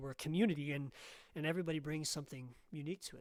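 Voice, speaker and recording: Very fast delivery with fairly even intonation. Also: man. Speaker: choir project leader. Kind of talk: casual chat. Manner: halting.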